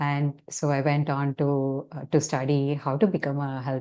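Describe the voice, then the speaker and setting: With a Tamil accent, a woman speaks in a very deep, low pitch and a dark, mellow tone, her intonation monotone and flat, over a quiet background. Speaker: health coach. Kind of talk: interview.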